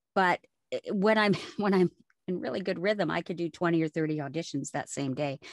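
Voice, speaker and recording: In a dry, close sound with no echo and a quiet background, a woman talks at a fairly quick pace. She has an ordinary speaking voice, a fairly low pitch and ordinary pitch variation. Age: 50s. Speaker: voice actor. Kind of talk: interview.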